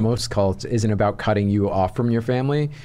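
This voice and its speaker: Someone with an American accent and a normal speaking voice talks at a fairly quick pace with ordinary pitch variation against a quiet background. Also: man. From New York. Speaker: comedian. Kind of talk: casual chat.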